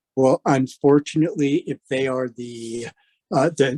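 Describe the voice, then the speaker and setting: A man speaks at a moderate pace with a medium pitch, in a normal speaking voice. The sound is dry and close, with no echo. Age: 60s. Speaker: escrow officer teaching a class. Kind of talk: lecture.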